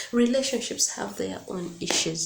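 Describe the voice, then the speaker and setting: Noticeable noise sits in the background of this recording. A woman talks over it fairly slowly. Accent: non-native. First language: not English. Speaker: YouTuber giving relationship advice. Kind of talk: casual vlog monologue. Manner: animated, repetitive emphasis.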